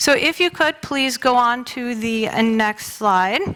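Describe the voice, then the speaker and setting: Her voice is raised and projected, with a bright, sharp tone. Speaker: lawyer. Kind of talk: presentation in church. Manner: animated.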